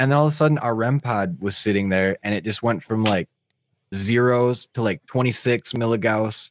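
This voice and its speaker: An unremarkable speaking voice from a man at medium pitch and moderate pace, ordinary pitch variation, and a dry, close sound with no echo in a very clean recording with a silent background. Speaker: podcast host. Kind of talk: casual chat.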